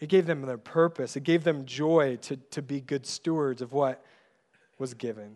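Against a quiet background, a man talks in a normal speaking voice. His pitch is fairly high, with ordinary pitch variation. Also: moderate pace. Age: 30s. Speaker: pastor. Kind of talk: sermon.

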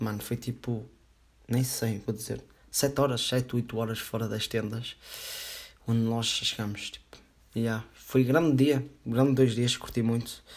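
A man with a European Portuguese accent talks at a medium pitch in a flat monotone, leaving long, frequent pauses. The recording is very clean, with a silent background. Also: fairly slow pace. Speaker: podcast host. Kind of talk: casual solo podcast monologue.

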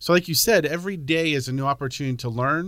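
A man's plain, everyday voice with an American accent, fairly high in pitch, at a fairly quick pace with ordinary pitch variation. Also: very clean recording, silent background. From Pennsylvania. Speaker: high school agriculture teacher. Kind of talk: casual interview.

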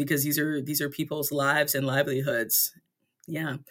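In an American accent, the speaker races along very fast with flat, monotone intonation. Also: woman. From US South, southeastern North Carolina. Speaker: folk singer-songwriter. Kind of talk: casual interview. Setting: radio studio.

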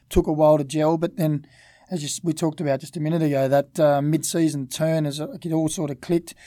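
Rushing at a very fast pace, a man with an Australian accent speaks in a monotone, flat intonation, with a fairly high pitch and a dark, mellow tone. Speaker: former footballer. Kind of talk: casual chat.

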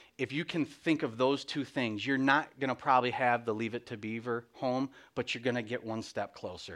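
A man's normal speaking voice at medium pitch, moderate pace, and ordinary pitch variation, in a very clean recording with a silent background. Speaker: guest speaker. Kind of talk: sermon. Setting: church.

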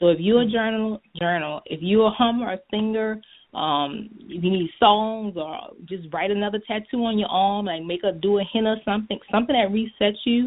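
A woman speaks in an ordinary speaking voice at a medium pitch and a moderate pace, with ordinary pitch variation. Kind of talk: interview answers, advice. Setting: phone call, conference line.

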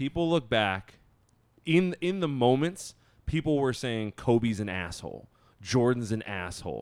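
A man with a normal speaking voice, medium in pitch, at a moderate pace with lively intonation. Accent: American. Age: 30s. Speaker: sneaker podcast co-host. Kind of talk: casual chat.

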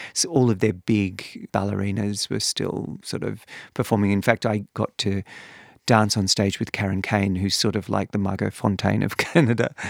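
The sound is dry and close with no echo, and the recording is very clean with a silent background. A man with an Australian accent speaks with fairly even intonation. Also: fairly low pitch for a man, moderate pace. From Western Australia, Perth. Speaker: former ballet dancer and artistic director, author. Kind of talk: interview.

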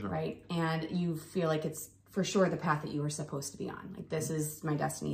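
A woman with an American accent speaks at a very fast pace. Noticeable background noise and audible room echo fill the recording. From Ohio, US. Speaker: physical therapy clinic co-founder. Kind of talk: casual chat.

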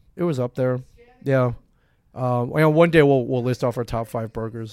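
Music plays behind a man whose pitch varies in an ordinary way, his voice captured dry and close with no echo. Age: 40s. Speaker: comic shop owner and podcast co-host. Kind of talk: casual chat. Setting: live broadcast from a comic shop.

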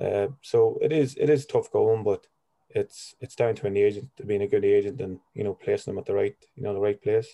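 Recorded in a dry, close sound with no echo, a man speaks with a Monaghan accent. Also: fairly quick pace. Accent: Irish, Monaghan. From Ireland, County Monaghan. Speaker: football agent, former footballer. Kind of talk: interview.

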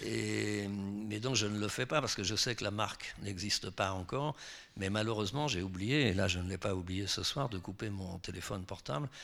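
A man with a fairly low pitch and ordinary pitch variation speaks at a moderate pace in an ordinary speaking voice. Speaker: novelist. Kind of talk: public author talk.

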